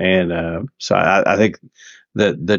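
Here a man talks in a Southern US accent. His pace is fairly slow. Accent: somewhat southern. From US South. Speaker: podcast co-host. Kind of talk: casual chat. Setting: call.

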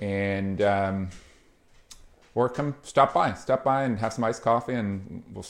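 This man has a normal speaking voice, pitched fairly low. He goes at a fairly slow pace with ordinary pitch variation. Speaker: podcast host. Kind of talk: casual chat.

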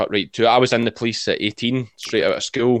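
The speaker rushes along at a very fast pace with a Scottish accent. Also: man. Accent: Scottish (Ayrshire). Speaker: sheep shearer, farmer and video creator. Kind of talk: casual interview chat.

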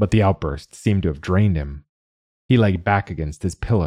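Against a quiet background comes an unforced reading voice with ordinary pitch variation.

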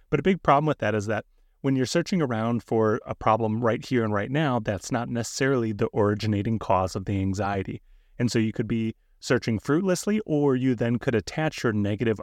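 With an ordinary speaking voice, a man talks fairly quickly at a medium pitch and ordinary pitch variation, the sound dry and close with no echo against a quiet background. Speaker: therapist podcast host. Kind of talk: educational podcast discussion.

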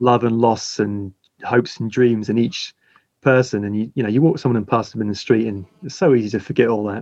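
With a plain, everyday voice, a man speaks at a fairly quick pace and medium pitch, varying it an ordinary amount. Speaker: wedding photographer and camera brand ambassador. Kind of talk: casual chat.

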